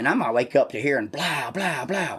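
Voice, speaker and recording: Fairly high in pitch, a man talks in an animated tone. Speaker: podcast host. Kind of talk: casual chat. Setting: at home. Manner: loud.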